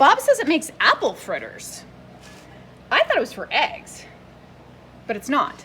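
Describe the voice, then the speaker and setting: A woman talks in an animated tone at an extremely high pitch, with very wide pitch swings and big swings in loudness. She leaves long, frequent pauses, and there is noticeable background noise. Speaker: antique booth vendor. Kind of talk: video tour of antique booth. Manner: fast.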